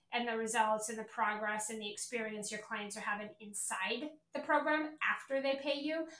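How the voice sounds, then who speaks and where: Recorded with audible room echo, a woman talks in a bright, sharp tone with ordinary pitch variation. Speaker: podcast host and sales coach. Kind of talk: casual monologue. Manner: casual with filler words.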